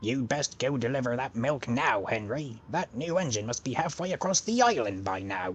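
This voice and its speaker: Using a put-on character voice at a medium pitch, a man talks at a moderate pace with hardly any pauses while clear background noise plays. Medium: audio drama. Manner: hearty sailor slang.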